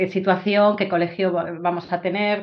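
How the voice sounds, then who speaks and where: A woman with a fairly low pitch talks in a monotone, flat way at a moderate pace. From Spain (Galicia, Vigo). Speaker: Spanish professor. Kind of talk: casual interview. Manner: halting.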